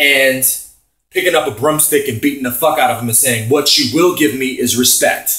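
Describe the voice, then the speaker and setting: Loud and animated, a man speaks at a moderate pace in a bright, sharp tone with ordinary pitch variation. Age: 30s. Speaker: vlogger. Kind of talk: opinion rant.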